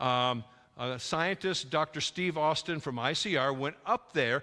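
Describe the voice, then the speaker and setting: In a very clean recording with a silent background, a man speaks with a bright, sharp tone and lively intonation. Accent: Upper Midwest. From North Dakota (Dickinson). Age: 70s. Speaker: creationist speaker. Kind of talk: lecture. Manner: animated, halting with fillers.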